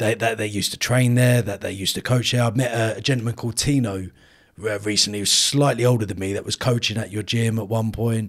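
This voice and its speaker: On a very clean recording with a silent background, a man with an unremarkable speaking voice talks at a fairly quick pace, at a medium pitch, with fairly even intonation. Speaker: podcast host. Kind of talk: interview.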